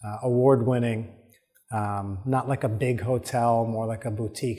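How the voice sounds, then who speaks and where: This man's voice is somewhat breathy and medium in pitch. He speaks at a fairly slow pace with monotone, flat intonation. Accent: American. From New York. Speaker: podcast host. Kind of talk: solo podcast monologue. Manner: casual, with many filler words.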